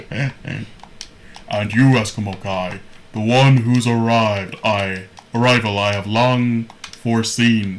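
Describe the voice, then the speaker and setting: A man puts on a booming character voice at a medium pitch. He leaves long, frequent pauses. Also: fairly slow pace. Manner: pompous, booming.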